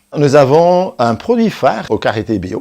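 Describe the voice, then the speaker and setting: Someone with a Belgian accent speaks at a fairly slow pace, the pitch swinging very widely. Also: man. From Belgium. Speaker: soap maker, business owner. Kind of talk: company presentation. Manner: halting.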